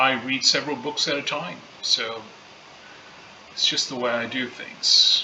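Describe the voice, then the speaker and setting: A man speaks at a fairly slow pace with long, frequent pauses, and the room echo is audible over noticeable background noise. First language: not English (English learned early in life). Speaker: book channel host. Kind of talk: reading aloud with commentary. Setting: home library. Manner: hesitant, many fillers.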